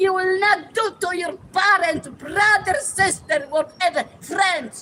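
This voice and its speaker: A woman's extremely high, raised and projected voice with a bright, sharp tone and a Polish accent, very slow, with ordinary pitch variation. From Poland. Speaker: retired teacher, tenant activist. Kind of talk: street rally interview. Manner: passionate.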